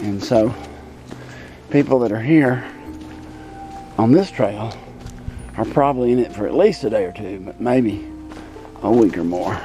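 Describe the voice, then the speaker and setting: A man with an American accent talks at medium pitch with lively intonation and a moderate pace. He takes long, frequent pauses while music plays in the background. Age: 60s. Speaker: hiker. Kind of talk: casual narration while hiking outdoors. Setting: outdoors.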